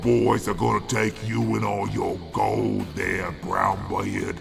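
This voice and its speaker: A man performs in a put-on character voice at a fairly slow pace. Clear music plays in the background. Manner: rough, threatening.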